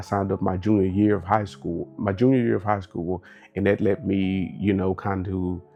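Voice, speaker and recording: A man with an American accent speaks at a fairly low pitch and a moderate pace, with fairly even intonation. Music plays in the background. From Texas, Dallas. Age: 30s. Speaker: military veteran. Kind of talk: interview.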